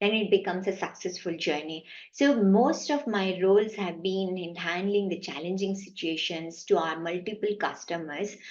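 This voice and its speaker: A woman speaks at a moderate pace with a Kannada accent, hardly pausing at all. Her pitch sits in the middle range and varies in an ordinary way. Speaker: IT managing director. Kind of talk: interview answer.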